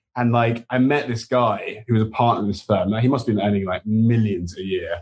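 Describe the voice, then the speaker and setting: Using an English accent, a man with a medium pitch and a somewhat breathy voice talks at a fairly quick pace with fairly even intonation, in a dry, close sound with no echo. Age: 30s. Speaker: TV show co-creator. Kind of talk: casual chat.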